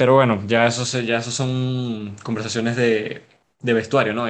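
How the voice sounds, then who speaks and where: Monotone and flat in intonation, a man with a Venezuelan accent talks at a moderate pace. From Venezuela, Caracas. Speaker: football analyst. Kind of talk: casual football analysis chat. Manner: halting, repeats words.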